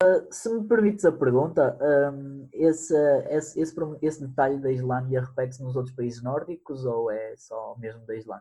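A man with fairly high pitch speaks somewhat breathily, with a dark, mellow tone and lively intonation. His pace is moderate and his loudness swings widely. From northern Portugal, Guimarães area. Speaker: podcaster. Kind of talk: casual chat.

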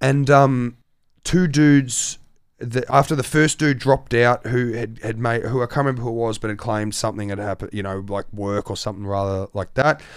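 A man with an Australian accent talks at a medium pitch and a fairly quick pace, his pitch varying in an ordinary way, in a very clean recording with a silent background. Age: young. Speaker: turntablist DJ. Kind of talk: casual chat.

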